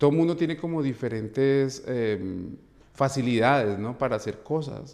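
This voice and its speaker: Recorded very cleanly against a silent background, a man talks at a moderate pace in a medium pitch with lively intonation. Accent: Bogotá. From Colombia, Bogotá. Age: 40s. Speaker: dance teacher. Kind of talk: interview. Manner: halting, repeats words.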